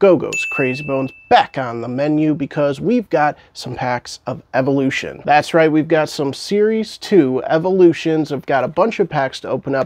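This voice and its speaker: A man speaks at a moderate pace with ordinary pitch variation and hardly any pauses, his voice dry with no echo. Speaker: collectibles creator. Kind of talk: casual unboxing commentary. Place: home room. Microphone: lapel.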